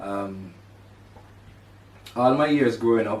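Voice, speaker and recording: A man with a Jamaican accent talks at a fairly slow pace amid audible room echo. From Jamaica (rural, St Catherine). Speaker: podcast host. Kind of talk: personal monologue. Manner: halting, with fillers.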